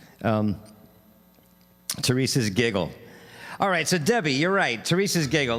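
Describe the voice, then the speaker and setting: A man is speaking. He has a New York accent. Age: 60s. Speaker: street musician and livestream host. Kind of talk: casual livestream chat between songs. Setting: live stream. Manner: halting, many fillers.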